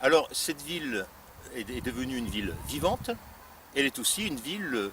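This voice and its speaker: A man talks at a middling tempo, his intonation rising and falling in a lively way. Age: 60s. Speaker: local politician, deputy mayor candidate. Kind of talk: campaign presentation. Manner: halting, many hesitations and repetitions.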